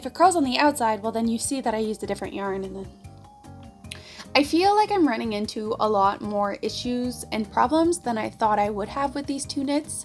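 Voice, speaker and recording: A woman speaks at a fairly quick pace in a high voice with very wide pitch swings, music playing in the background. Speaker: knitting vlogger. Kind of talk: casual talk to camera.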